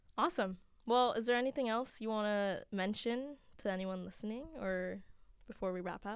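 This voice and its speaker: Using a normal speaking voice, a woman talks at a moderate pace, her fairly high pitch varying in an ordinary way. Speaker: podcast host. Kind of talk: casual chat. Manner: friendly, laughs often.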